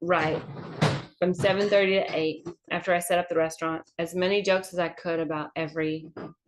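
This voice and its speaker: A woman speaks at a fairly quick pace with a Southern accent. Her pitch is fairly low and her intonation fairly even. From US South, Georgia. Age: 40s. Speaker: comedian. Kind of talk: casual chat. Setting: livestream.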